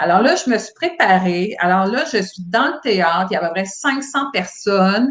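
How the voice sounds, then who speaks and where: A woman talks fairly slowly with hardly any pauses, her medium-pitched, somewhat breathy voice making very wide pitch swings and big swings in loudness. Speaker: former cruise ship employee. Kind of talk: casual interview chat. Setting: livestream video call. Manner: hesitant with many fillers.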